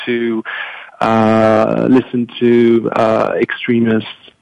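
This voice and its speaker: A man speaks with a French accent at a medium pitch. The sound is dry and close, with no echo. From France. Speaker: foundation program manager. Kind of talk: panel discussion. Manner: halting.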